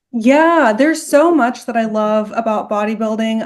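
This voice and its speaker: Speaking at a moderate pace with ordinary pitch variation, a woman with a plain, everyday voice and a fairly high pitch talks in an American accent. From Texas. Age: 20s. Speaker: bodybuilding competitor. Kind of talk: interview.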